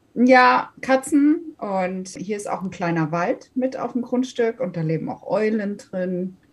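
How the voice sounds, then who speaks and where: A somewhat breathy, fairly high female voice, very slow, with hardly any pauses and very wide pitch swings. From Hesse, Germany (Wiesbaden/Taunusstein area). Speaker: DJ. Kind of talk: casual interview. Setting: home office.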